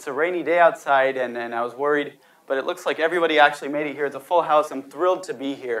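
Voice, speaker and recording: The pitch varies in an ordinary way. The speaker is a man. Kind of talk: lecture. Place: hall. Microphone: lapel.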